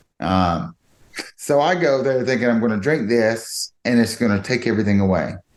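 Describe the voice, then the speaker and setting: A man with a Georgia accent talks at a moderate pace and medium pitch, his intonation lively and his loudness very even. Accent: Georgia (US South). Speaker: podcast guest. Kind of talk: personal testimony in interview.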